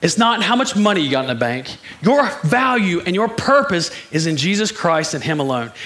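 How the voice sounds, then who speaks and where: A man speaks at a high pitch in an animated tone, with very wide pitch swings. Noticeable background noise is present. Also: moderate pace. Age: 40s. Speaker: preacher. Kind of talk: sermon. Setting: church.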